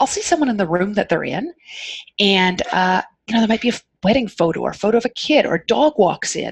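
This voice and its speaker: A woman with a fairly high voice speaks very fast with lively intonation. The sound is dry and close, with no echo. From Canada. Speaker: occupational therapist. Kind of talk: casual interview chat. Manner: calm, soothing.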